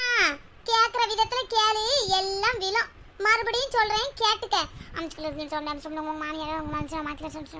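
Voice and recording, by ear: A woman puts on a cartoonish character voice at an extremely high pitch, with lively intonation, a moderate pace, big swings in loudness and clear background noise.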